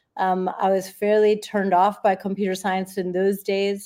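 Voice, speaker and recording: A woman's medium-pitched voice with an American accent, a dark, mellow tone and monotone, flat intonation at a moderate pace, on a very clean recording with a silent background. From US, Los Angeles. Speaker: data scientist and author. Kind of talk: interview.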